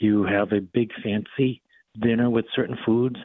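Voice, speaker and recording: Using a Boston accent, a man speaks at a moderate pace with a medium pitch and fairly even intonation. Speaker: physician. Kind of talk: radio interview.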